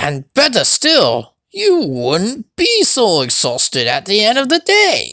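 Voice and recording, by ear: At a slow pace, a put-on character voice with a bright, sharp tone makes very wide pitch swings.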